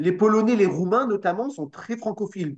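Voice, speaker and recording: Moving at a moderate pace, a man with a high pitch speaks with lively intonation. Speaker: political party representative. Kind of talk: interview.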